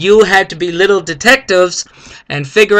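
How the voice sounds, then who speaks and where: In a raised, projected voice, a man speaks at a moderate pace and a high pitch. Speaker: math teacher. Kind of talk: recorded video lesson. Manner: casual, upbeat.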